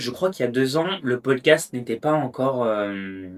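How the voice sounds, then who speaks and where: A man talks at a very slow pace with lively intonation. His pitch is medium. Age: 20s. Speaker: podcast host. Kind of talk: casual monologue. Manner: hesitant, many fillers.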